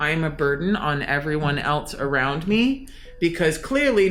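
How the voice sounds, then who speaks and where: Moderately paced speech from a woman, amid noticeable background noise and audible room echo. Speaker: anonymous podcast guest sharing personal story. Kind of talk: personal testimony. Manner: loud.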